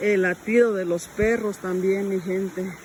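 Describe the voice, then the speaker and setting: With noticeable background noise behind her, a woman speaks at a medium pitch in a monotone, flat intonation. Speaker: rural vlogger. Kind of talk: casual vlog walkthrough. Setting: outdoors in fields by a stream.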